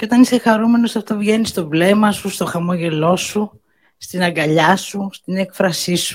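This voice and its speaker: A woman speaks at a moderate pace and a medium pitch. Her pitch varies in an ordinary way. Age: 60s. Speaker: birthday host giving a speech. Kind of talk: birthday speech to guests.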